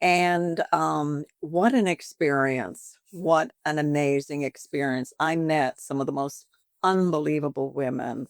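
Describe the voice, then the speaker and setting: A woman's very deep, low pitch with ordinary pitch variation, at a fairly slow pace in a dry, close sound with no echo. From Canada. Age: 70s. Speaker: boutique owner and pageant winner. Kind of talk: interview. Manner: chatty, talkative; animated.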